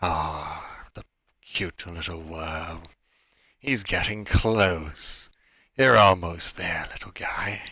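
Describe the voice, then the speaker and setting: A man speaks in a put-on character voice at a very slow pace. The recording is very clean, with a silent background. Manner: menacing, gloating, mocking.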